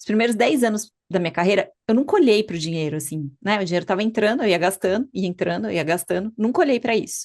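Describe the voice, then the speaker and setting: In a plain, everyday voice, a woman talks at a fairly quick pace with lively intonation over a quiet background. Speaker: physician and podcast host. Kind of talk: podcast conversation.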